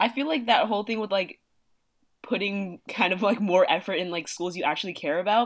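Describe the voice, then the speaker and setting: A woman with an American accent has an unremarkable speaking voice, a medium pitch, ordinary pitch variation and a fairly quick pace. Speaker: college student. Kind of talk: casual chat.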